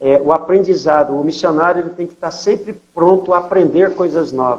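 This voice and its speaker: This man speaks fairly quickly at a high pitch. His intonation stays fairly even while his loudness swings widely. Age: 60s. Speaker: missionary pastor. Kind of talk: interview testimony.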